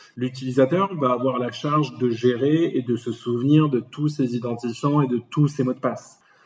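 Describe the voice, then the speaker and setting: Here a man has a plain, everyday voice at a medium pitch and moderate pace. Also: fairly even intonation. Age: 30s. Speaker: management consultant. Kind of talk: interview.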